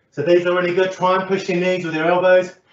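A man with a high-pitched voice talks at a very fast pace. His speech carries an audible room echo. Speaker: fitness instructor. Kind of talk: workout instruction. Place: home room. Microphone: camera far.

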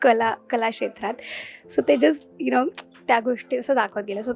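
Against noticeable background noise, a woman's high voice sounds dry and close, with no echo. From Mumbai, India. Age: 20s. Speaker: film industry newcomer. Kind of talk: interview.

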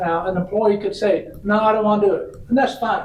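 A man with a Tennessee accent speaks at a high pitch with fairly even intonation. Audible room echo and noticeable background noise surround him. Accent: Southern US (Tennessee). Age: 60s. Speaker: retirement system representative, former state legislator. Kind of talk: public meeting presentation. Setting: city council meeting. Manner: conversational.

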